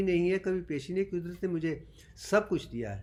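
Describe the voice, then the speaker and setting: The speaker is a man with a high pitch. He talks at a moderate pace. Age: 70s. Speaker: doctor and self-styled teacher. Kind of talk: lecture.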